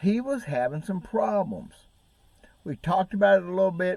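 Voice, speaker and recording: Very wide pitch swings run through a man's speech in an American accent. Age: 60s. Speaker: bass fishing YouTuber. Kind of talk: casual vlog talk.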